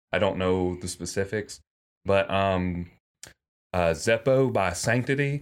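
On a very clean recording with a silent background, a man speaks with a very deep, low pitch and a slight Southern US accent. His pace is fairly slow, broken by long, frequent pauses. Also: ordinary pitch variation. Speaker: podcast host. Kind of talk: casual chat.

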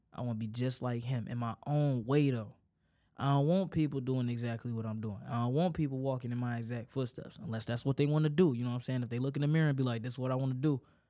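Over a silent background in a very clean recording, a man talks very fast with a dark, mellow tone, a medium pitch and fairly even intonation. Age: young. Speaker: solo podcaster. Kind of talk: personal monologue. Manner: casual, conversational.

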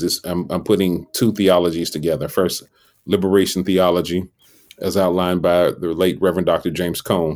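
A man with an American accent and a very deep, low pitch, on a very clean recording with a silent background. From Chicago South Side. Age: 40s. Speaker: pastor. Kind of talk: interview conversation.

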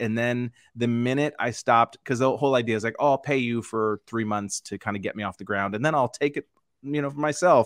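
With an unremarkable speaking voice, a man talks at a fairly quick pace and medium pitch, his intonation fairly even. The sound is dry and close with no echo, over a quiet background. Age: 40s. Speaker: comedian. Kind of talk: casual chat.

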